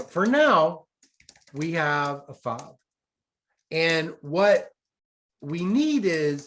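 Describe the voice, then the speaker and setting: Very slow speech in an American accent, with long, frequent pauses. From US South. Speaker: economics professor. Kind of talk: lecture. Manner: slow, deliberate.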